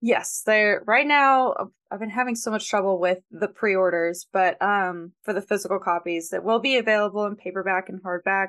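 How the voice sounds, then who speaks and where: Against a quiet background, a woman with an American accent uses a normal speaking voice at medium pitch, moving at a moderate pace with hardly any pauses and ordinary pitch variation. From US South, Georgia. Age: 20s. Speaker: author and editor. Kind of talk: casual interview.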